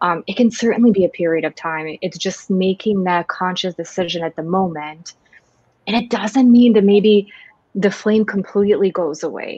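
A woman speaks at a moderate pace in a medium pitch, her dark, mellow tone showing ordinary pitch variation, with a dry, close sound and no echo. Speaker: organizational psychologist and co-host. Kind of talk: casual chat.

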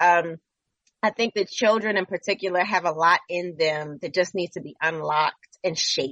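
Moderate pace and ordinary pitch variation from a woman with a fairly low pitch and an American accent. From Baltimore, Maryland. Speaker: theater director and educator. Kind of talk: radio interview.

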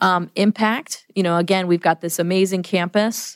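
Recorded very cleanly over a silent background with a dry, close sound and no echo, a woman with a fairly low pitch speaks in an ordinary speaking voice with an American accent and fairly even intonation. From US Midwest, Chicago area. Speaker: business school dean. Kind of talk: podcast interview.

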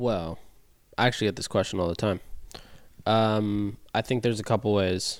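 Fairly low male voice at a moderate pace, with long, frequent pauses, on a very clean recording with a silent background. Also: fairly even intonation. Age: 20s. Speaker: e-commerce brand consultant. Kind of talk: casual chat.

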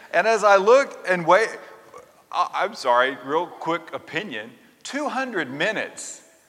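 A man's high-pitched voice at a very slow pace, with noticeable background noise. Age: 50s. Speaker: Episcopal priest. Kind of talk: sermon. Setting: church service. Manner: conversational, hesitant.

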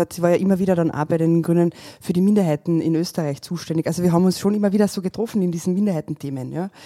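In a very clean recording with a silent background, a woman's fairly low, dark and mellow voice carries fairly even intonation with a dry, close sound and no echo. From Carinthia, Austria (rural, Ludmersdorf). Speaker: politician and organic farmer. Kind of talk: casual interview chat. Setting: restaurant table.

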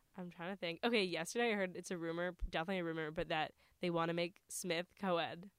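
Talking very fast in an American accent, a woman has a fairly low pitch and fairly even intonation. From New York area. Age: young. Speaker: college student podcast co-host. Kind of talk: casual chat.

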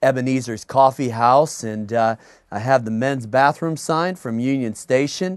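A man speaks at a medium pitch and a moderate pace, with ordinary pitch variation. He has an ordinary speaking voice, and the background is quiet. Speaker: pastor. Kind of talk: sermon introduction. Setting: office.

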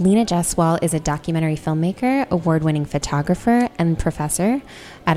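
With an American accent, a woman who has an unremarkable speaking voice talks fairly quickly at a fairly low pitch with ordinary pitch variation. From Korea and England as a child, then US from age eight. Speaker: podcast host. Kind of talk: casual interview.

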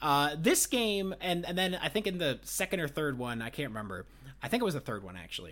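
Recorded very cleanly with a silent background, a man with a fairly high pitch talks at a fairly quick pace, his pitch swinging very widely. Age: 30s. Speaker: podcast host. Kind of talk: casual chat.

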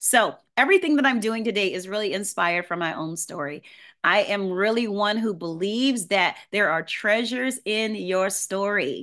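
A woman's medium-pitched voice, bright, sharp and animated in tone, with ordinary pitch variation, a moderate pace and a quiet background. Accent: New Orleans. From US South. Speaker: voice and presentation coach. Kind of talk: online workshop presentation. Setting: video call.

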